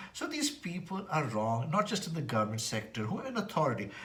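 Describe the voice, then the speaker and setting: With noticeable background noise and audible room echo around him, a man speaks very fast. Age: 60s. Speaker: vlogger, former banker. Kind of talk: casual monologue vlog. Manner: halting.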